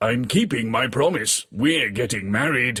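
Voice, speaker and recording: In a put-on character voice, the speaker moves at a moderate pace with lively intonation. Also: man, medium pitch for a man. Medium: read story. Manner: commanding.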